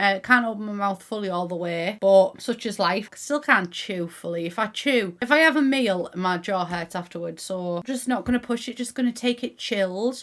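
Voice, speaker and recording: Speaking with a Teesside accent, a woman uses a medium pitch with ordinary pitch variation. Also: moderate pace, hardly any pauses. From Middlesbrough, England. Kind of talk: casual gaming commentary to camera. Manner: chatty, upbeat.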